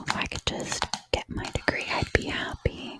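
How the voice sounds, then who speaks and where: A woman whispers at a very slow pace. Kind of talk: Bible study talk, ASMR style. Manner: whispered, soft, slow.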